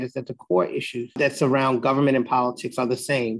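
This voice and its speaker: A man with a New York accent talks very fast at a fairly high pitch. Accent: New York City. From Jamaica, Queens, New York City. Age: 50s. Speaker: political consultant and lobbyist. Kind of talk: interview.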